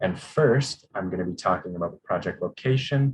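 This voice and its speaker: A man is speaking at a fairly quick pace. His pitch varies in an ordinary way. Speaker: geologist presenting a mining project. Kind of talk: conference presentation. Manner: fast.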